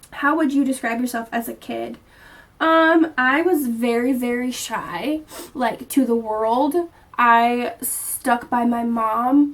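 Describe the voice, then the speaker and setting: A woman at a high pitch speaks at a very slow pace with ordinary pitch variation. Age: 20s. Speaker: vlogger. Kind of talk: casual chat.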